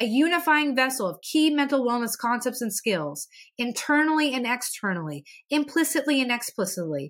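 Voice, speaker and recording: A woman with a central Pennsylvania accent speaks at a moderate pace in a high pitch with lively intonation. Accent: central Pennsylvania American. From central Pennsylvania, US. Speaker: podcast host and mental health therapist. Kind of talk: scripted-style educational podcast talk. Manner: earnest, encouraging.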